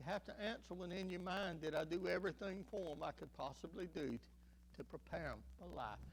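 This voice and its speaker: A man talking at a fairly quick pace with a Southern US accent. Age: 60s. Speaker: pastor. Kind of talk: sermon. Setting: church.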